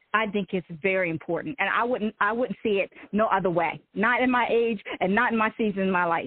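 A woman with a normal speaking voice and an American accent talks at a moderate pace with ordinary pitch variation. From Eastern Shore of Maryland (Salisbury). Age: 40s. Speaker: author. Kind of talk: interview, personal testimony.

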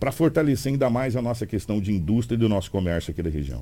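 A man's fairly low voice carries vocal fry and a dark, mellow tone. His pitch swings very widely. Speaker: radio news host. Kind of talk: morning radio news show and interview. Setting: radio studio.

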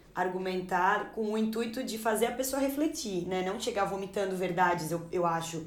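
Audible room echo colors the recording. The delivery is moderate in speed, with pitch varying in an ordinary way. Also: woman. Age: 20s. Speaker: Portuguese teacher and editor. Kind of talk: casual discussion.

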